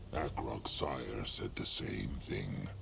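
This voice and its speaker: A man's put-on character voice over loud background noise. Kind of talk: video game voice acting. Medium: game stream. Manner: archaic troll speech, third person.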